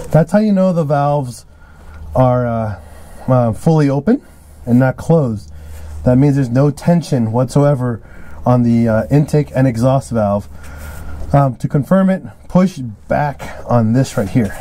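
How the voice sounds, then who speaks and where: Using long, frequent pauses, a man speaks at a fairly slow pace with lively intonation and a dark, mellow tone. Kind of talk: tutorial. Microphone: phone near.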